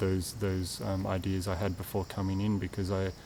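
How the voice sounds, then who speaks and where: This man has an Australian accent and a fairly low pitch. He talks at a moderate pace with fairly even intonation. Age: 20s. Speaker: retreat participant. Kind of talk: testimony. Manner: halting, many fillers and repetitions.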